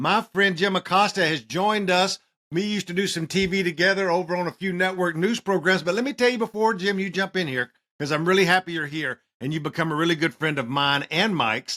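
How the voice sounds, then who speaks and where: Very fast speech with a bright, sharp tone and an American accent comes through on a very clean recording with a silent background, dry and close with no echo. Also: man, high pitch for a man, ordinary pitch variation. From Mexican American. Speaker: podcast host, political strategist. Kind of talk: casual chat.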